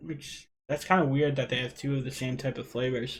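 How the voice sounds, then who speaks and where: This man speaks with a Rhode Island accent. His pitch sits fairly high. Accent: Rhode Island, New England. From Rhode Island, US. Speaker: e-liquid DIY youtuber. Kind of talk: live stream chat. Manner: casual, conversational.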